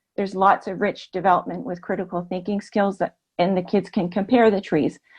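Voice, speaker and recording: A woman's normal speaking voice, medium in pitch, with a Canadian accent, fairly even intonation and a fairly quick pace. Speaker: kindergarten teacher. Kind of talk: webinar presentation.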